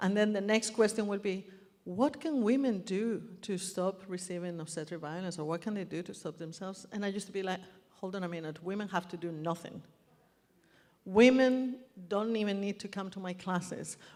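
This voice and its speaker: Speaking at a fairly quick pace, a woman with a Spanish accent has a medium pitch and ordinary pitch variation. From Spain. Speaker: birth activist and speaker. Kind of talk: public speech. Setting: stage with audience.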